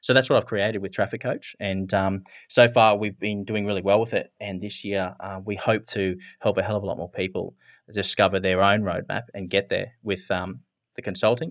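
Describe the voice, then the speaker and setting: On a very clean recording with a silent background, a man with an Australian accent speaks at a fairly low pitch and a moderate pace with fairly even intonation. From rural Australia. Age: 30s. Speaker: business marketing strategist. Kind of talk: interview.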